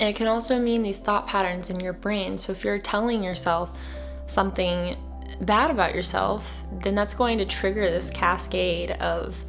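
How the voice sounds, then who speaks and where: Soft-spoken and in a calm tone, a woman talks at a moderate pace over music in the background. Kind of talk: soft-spoken ASMR-style wellness talk with journaling prompts. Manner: soft-spoken, calm.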